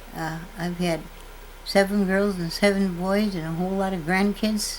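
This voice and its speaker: With an Upper Midwest accent, a woman speaks at a medium pitch. Her pace is fairly slow and her intonation fairly even. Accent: Upper Midwest rural American. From North Dakota. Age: 80s+. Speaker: farmer. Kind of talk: testimony. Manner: halting.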